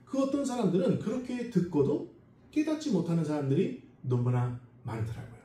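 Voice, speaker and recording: A man speaks at a fairly quick pace with a non-native accent, his pitch high and swinging very widely. Room echo is audible. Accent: non-native Korean, self-described weak Korean. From South America (emigrated from Korea at six). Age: 40s. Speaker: pastor, Bible school lecturer. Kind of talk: sermon. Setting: church service. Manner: hesitant, many fillers.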